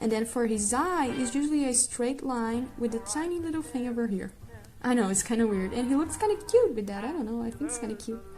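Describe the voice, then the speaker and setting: Over noticeable background noise, a woman speaks very fast with a non-native accent. Her voice is high-pitched, with ordinary pitch variation. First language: not English. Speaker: art tutorial creator. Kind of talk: drawing tutorial. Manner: casual, hesitant with fillers.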